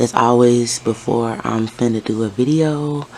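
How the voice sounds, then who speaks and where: There is noticeable background noise. A woman speaks with a very deep, low pitch. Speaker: tarot reader. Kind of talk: tarot reading. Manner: casual.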